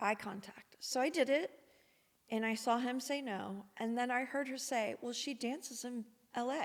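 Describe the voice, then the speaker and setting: This woman is soft-spoken with a high pitch. Her pitch varies in an ordinary way. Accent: American. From Missouri, USA. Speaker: podcast guest. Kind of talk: podcast interview answer, personal storytelling.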